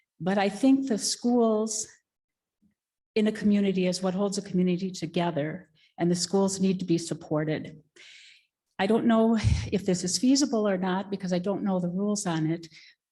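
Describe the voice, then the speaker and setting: Her voice is medium in pitch, dark and mellow, and somewhat breathy. The woman keeps a moderate pace and fairly even intonation. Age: 60s. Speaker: public commenter at school board meeting. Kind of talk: public comment.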